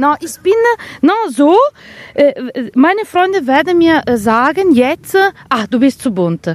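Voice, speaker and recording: Pausing long and often, a woman with an Italian accent speaks at a very slow pace in a high pitch, with very wide pitch swings. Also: dry, close sound with no echo. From northern Italy, Vicenza. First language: Italian (speaking German). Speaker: art historian and seamstress. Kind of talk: casual interview. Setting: outdoors. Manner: halting, many hesitations.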